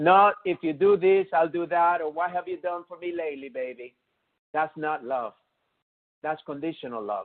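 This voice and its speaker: This man speaks with a non-native accent at a high pitch and an animated tone. His pitch variation is ordinary and his pace moderate. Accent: noticeable foreign accent, won't go away. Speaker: chiropractor and motivational speaker. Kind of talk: webinar presentation.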